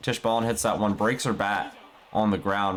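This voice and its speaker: Talking at a very fast pace, a man speaks at a fairly low pitch. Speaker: esports play-by-play commentator. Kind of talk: live commentary.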